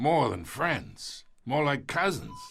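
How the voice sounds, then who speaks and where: A man does a raspy put-on character voice pitched fairly high. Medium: video game. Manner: gruff, mocking.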